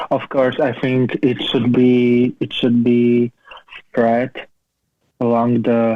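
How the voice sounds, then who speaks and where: Very slowly and in a monotone, flat intonation, a man speaks with a Slovak accent. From Slovakia. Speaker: cancer survivor and PhD student. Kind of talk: interview. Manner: halting.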